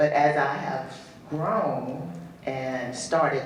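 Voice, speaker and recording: Amid noticeable background noise and audible room echo, a man speaks in a fairly high pitch with fairly even intonation. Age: 60s. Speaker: audience member, nonprofit founder and doula. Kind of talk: audience comment in Q&A.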